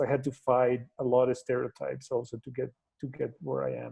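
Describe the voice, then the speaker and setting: A man talks with a Mexican accent. His pace is fairly slow. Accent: Mexican Spanish accent, noticeable. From Mexico, Torreón. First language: Spanish. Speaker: NASA scientist, guest speaker. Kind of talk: talk to educators over video call. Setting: video call. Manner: halting, many fillers.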